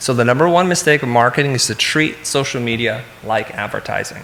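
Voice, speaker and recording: A man speaks with ordinary pitch variation. Room echo and noticeable background noise can be heard. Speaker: keynote speaker, design company CEO and educator. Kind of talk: conference keynote talk. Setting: stage with audience. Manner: fast.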